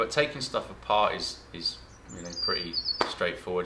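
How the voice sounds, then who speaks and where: A man talks rather quickly while loud noise fills the background. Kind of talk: casual vlog chat. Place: workshop.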